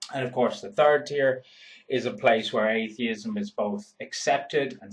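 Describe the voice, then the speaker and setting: Talking at a fairly slow pace, a man with an Irish accent and a medium-pitched, somewhat breathy voice swings his pitch very widely. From Ireland. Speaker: YouTuber. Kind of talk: vlog monologue.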